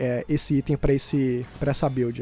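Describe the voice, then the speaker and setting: A man talks in a dark, mellow tone. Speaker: gaming YouTuber. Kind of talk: gameplay commentary narration. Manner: casual, conversational.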